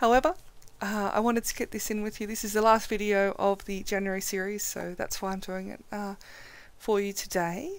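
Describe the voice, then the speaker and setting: A woman speaks quietly at a moderate pace on a very clean recording with a silent background. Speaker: photography editing tutor. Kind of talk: tutorial. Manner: quiet and subdued.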